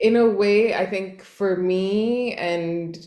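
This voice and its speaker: A woman's fairly even-toned voice amid noticeable background noise and audible room echo. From Montreal, Quebec. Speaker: stand-up comedian. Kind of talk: interview.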